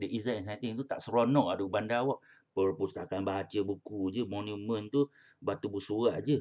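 A man speaks at a moderate pace in a fairly low voice with ordinary pitch variation. The background is quiet. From Malaysia. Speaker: primary school English teacher. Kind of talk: online class lesson. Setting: video call. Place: home room. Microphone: webcam.

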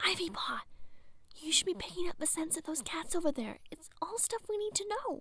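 A quiet whisper at a fairly quick pace, in dry sound with no echo. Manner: hushed whisper to young cat.

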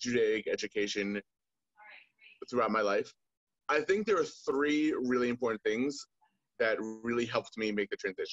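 A man's fairly slow delivery with long, frequent pauses, light background noise, and a dry sound free of echo. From US, Maryland. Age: 20s. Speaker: soldier. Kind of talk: interview. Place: home room. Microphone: video call.

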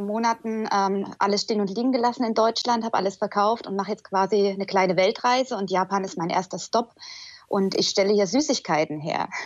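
Speaking at a fairly quick pace, a woman has an ordinary speaking voice. Her pitch sits in the medium range, and her intonation is fairly even. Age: 30s. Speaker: social worker on world trip. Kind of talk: call-in conversation. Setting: Skype call.

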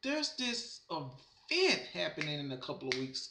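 A man speaks in a raised, projected voice. Audible room echo and light background noise come through. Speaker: wrestling fan vlogger. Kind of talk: casual vlog commentary. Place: home room. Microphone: webcam.

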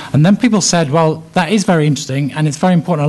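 A man speaks with an English accent. His pitch variation is ordinary. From England. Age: 50s. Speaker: education policy expert. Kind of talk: lecture. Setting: stage with audience. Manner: hesitant with fillers. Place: hall.

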